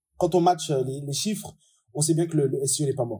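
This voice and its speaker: A man speaks in a dark, mellow tone. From France. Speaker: digital marketing strategist, SEO expert. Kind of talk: interview.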